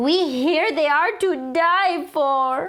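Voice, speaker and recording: In a put-on character voice, a woman speaks at an extremely high pitch. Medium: read story.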